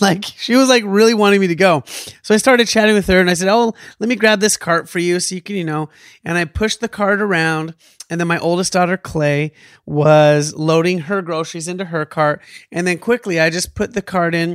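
A man speaks fairly quickly in an animated tone, his high pitch showing ordinary pitch variation. The recording is very clean with a silent background and a dry, close sound with no echo. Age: 40s. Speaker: podcast host. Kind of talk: casual chat.

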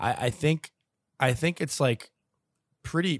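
A man with a plain, everyday voice talks at a moderate pace with ordinary pitch variation, on a very clean recording with a silent background and a dry, close sound with no echo. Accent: American. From Long Island, New York. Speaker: hockey podcaster and analyst. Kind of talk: casual chat.

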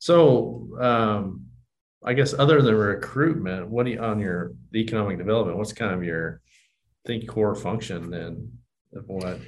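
Audible room echo surrounds a man with an American accent, whose fairly low voice carries vocal fry. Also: lively intonation, moderate pace. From southwest Kansas (Johnson). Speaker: bank executive and podcast host. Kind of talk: interview conversation.

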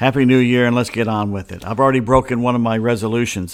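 Fairly even in intonation, a man with an American accent speaks at a medium pitch. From US South, Atlanta. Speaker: sports podcast host. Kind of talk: casual sports talk monologue. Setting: home studio, solo microphone.

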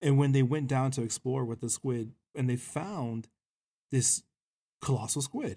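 With an American accent, the speaker has a dark, mellow, somewhat breathy tone and fairly even intonation, moving at a fairly slow pace with long, frequent pauses in a dry, close sound with no echo. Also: man, medium pitch for a man. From South Texas, raised partly abroad (military family). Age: 30s. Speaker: podcast co-host. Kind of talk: casual chat. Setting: home recording. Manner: halting, repeats words.

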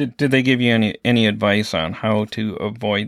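In a very clean recording with a silent background, a man with an ordinary speaking voice talks at a fairly low pitch with ordinary pitch variation. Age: 50s. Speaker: podcast host, EMT. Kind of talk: casual interview.

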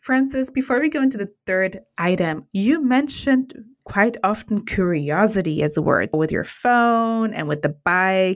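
The tone is enthusiastic, with very wide pitch swings. Delivery is fairly slow yet has hardly any pauses. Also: woman, medium pitch for a woman. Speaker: podcast host, program manager. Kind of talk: interview.

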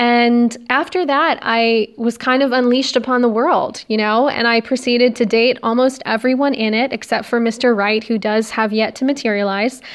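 A woman speaks at a moderate pace in a fairly high pitch, her intonation flat and monotone. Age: young. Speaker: podcast host, nurse. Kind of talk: casual monologue. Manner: hesitant, many fillers. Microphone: phone recording.

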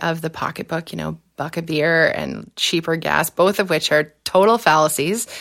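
A woman with a Canadian accent speaks at a moderate pace in a fairly low pitch. Hers is an unremarkable speaking voice with ordinary pitch variation. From southwestern Ontario, Canada. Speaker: political scientist and former election candidate. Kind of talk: interview.

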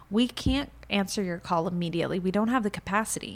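A plain, everyday voice from a woman with an American accent, medium pitch and ordinary pitch variation, on a very clean recording with a silent background. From Florida, US, Cuban family. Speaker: salon owner and entrepreneur. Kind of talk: casual interview chat.

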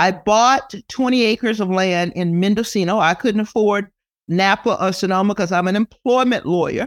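A woman with an American accent speaks at a moderate pace in a medium pitch, with ordinary pitch variation and very even loudness. The recording is very clean, with a silent background. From Texas. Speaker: trial lawyer and vineyard owner. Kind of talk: casual interview. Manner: animated.

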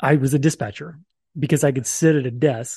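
Here a man talks with a dark, mellow tone that is somewhat breathy. He keeps to a moderate pace. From Oklahoma, raised in the Philippines from age eleven. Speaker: business coach. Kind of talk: interview. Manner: animated, big hand gestures.

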